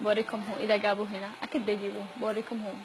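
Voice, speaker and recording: A woman with a Yemeni accent speaks at a fairly high pitch. Noticeable background noise runs behind her. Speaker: student vlogger. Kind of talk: casual vlog.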